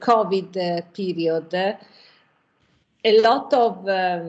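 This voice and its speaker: In an Italian accent, a woman speaks at a medium pitch with fairly even intonation. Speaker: restaurant owner. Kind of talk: panel discussion. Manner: halting.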